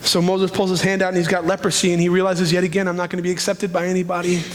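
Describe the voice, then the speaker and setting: A man at a high pitch, very fast pace, with noticeable background noise and audible room echo. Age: 30s. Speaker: pastor. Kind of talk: sermon. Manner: animated.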